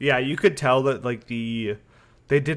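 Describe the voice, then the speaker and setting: A normal speaking voice from a man at medium pitch, with fairly even intonation and a fairly quick pace. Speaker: video game podcast co-host. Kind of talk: casual chat.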